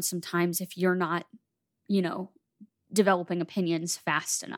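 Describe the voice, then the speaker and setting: An ordinary speaking voice at a moderate pace, recorded dry and close with no echo against a very clean, silent background. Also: woman. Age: 20s. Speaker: podcast co-host. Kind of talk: casual chat.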